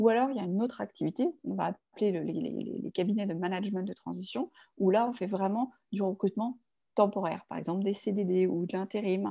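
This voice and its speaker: This woman speaks at a medium pitch with vocal fry, ordinary pitch variation and a dark, mellow tone. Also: fairly quick pace. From Paris suburbs, France. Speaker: legal recruitment firm founder, former lawyer. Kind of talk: interview. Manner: halting, many fillers and repetitions.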